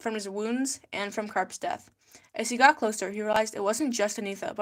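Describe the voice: What you hear is plain reading aloud.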